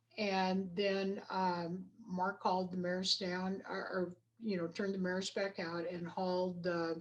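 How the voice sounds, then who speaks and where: Her intonation stays monotone and flat. This woman's voice sits at a medium pitch. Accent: American. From Idaho. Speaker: rodeo coach and equine studies educator. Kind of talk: interview.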